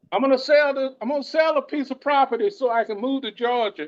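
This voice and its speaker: Speaking at an extremely high pitch, a man talks at a fairly quick pace with lively intonation. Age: 60s. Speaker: session participant, retiree and property owner. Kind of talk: casual discussion.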